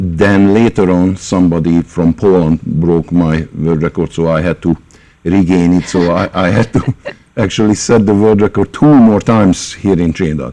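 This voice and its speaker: Here a man speaks with a very deep, low voice. His pace is moderate and his pitch varies in an ordinary way. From Hungary. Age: 60s. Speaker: concert pianist and music teacher. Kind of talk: radio interview. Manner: halting, many fillers.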